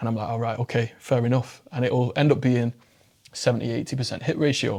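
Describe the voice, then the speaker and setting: Delivered at a fairly quick pace, the speech comes in an English accent. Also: man, medium pitch for a man. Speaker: mental health public speaker. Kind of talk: casual interview chat. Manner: fast; animated.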